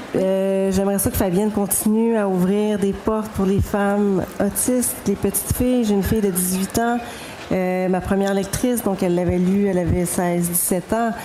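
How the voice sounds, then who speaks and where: Over noticeable background noise, a woman talks at a moderate pace in a monotone, flat intonation with very even loudness. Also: medium pitch for a woman. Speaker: novelist. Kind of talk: panel discussion.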